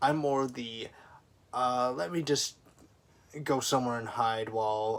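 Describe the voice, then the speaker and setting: The voice has an American accent, a moderate pace and ordinary pitch variation. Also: man. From US military family. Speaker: vlogger. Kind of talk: personal vlog monologue. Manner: quiet; halting.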